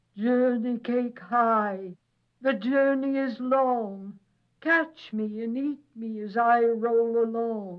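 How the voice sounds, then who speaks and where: In a put-on character voice, a female-sounding speaker goes sing-song at a fairly high pitch and a very slow pace. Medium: read story. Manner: sing-song, rhyming.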